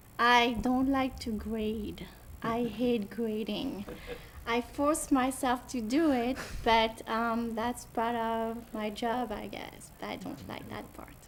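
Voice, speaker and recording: Big swings in loudness mark this woman's very slow speech. She has a fairly high pitch and a French accent. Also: fairly even intonation. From France, southwest (Cognac). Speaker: French teacher. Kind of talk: interview. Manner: hesitant, with fillers.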